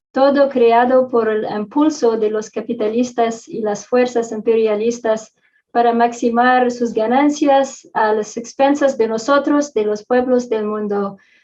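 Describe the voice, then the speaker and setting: A woman with a non-native accent speaks at a fairly slow pace in a fairly high pitch, with a dark, mellow tone, fairly even intonation and hardly any pauses. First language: not Spanish (Spanish is third language) (speaking Spanish). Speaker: social movement activist. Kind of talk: panel talk. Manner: halting, many fillers.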